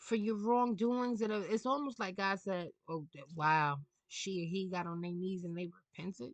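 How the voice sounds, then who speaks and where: In a New York accent, a woman with a medium pitch talks at a fairly slow pace, her animated tone marked by very wide pitch swings. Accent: New York City. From New York City. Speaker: tarot reader. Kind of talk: casual monologue rant. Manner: halting.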